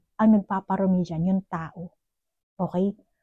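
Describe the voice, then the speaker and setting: At a fairly quick pace, a woman with a medium pitch, a dark, mellow tone and a somewhat breathy voice speaks with fairly even intonation in a dry, close sound with no echo. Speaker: tarot card reader. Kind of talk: psychic tarot reading. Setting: at home, neighbors nearby. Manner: conversational, direct address to viewer.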